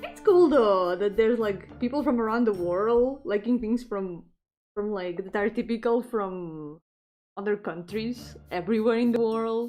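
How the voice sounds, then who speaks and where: Against a quiet background, a woman with a Spanish accent speaks at a fairly slow pace in a dark, mellow tone, her fairly high pitch showing ordinary variation. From Spain. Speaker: VTuber streamer. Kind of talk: casual live-stream chat while drawing. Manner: animated.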